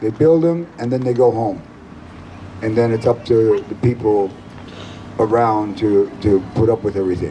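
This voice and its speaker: Against noticeable background noise, a man at a medium pitch speaks with ordinary pitch variation and long, frequent pauses. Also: moderate pace. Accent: American. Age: 60s. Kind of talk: rally speech.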